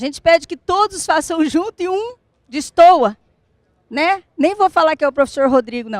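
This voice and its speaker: A woman with an extremely high pitch speaks at a moderate pace, animated in tone and lively in intonation, in dry, close sound with no echo. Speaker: business consultant and speaker. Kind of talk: talk to a live audience. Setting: stage with audience.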